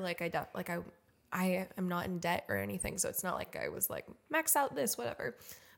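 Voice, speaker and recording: The recording is very clean, with a silent background. A woman speaks at a medium pitch with vocal fry. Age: 20s. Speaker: podcast co-host. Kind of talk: casual chat.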